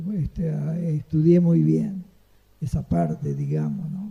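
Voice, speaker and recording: A man speaks with a Uruguayan accent. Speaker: retired saxophonist. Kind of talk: interview answer. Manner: pleasant, chatty.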